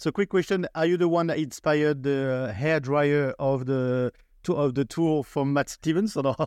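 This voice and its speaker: A man with a French accent at a fairly high pitch, moderate pace and ordinary pitch variation, very even loudness, dry, close sound with no echo, and a quiet background. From France. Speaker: podcast host. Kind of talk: interview.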